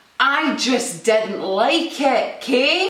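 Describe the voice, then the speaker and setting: A woman speaks with a Scottish accent and lively intonation. Noticeable background noise runs under her voice. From Scotland. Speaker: comedian. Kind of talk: casual talk to camera.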